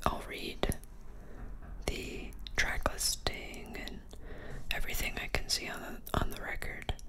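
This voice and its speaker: Soft-spoken whispering at a fairly slow pace over loud background noise. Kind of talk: casual unboxing talk. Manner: soft ASMR whisper.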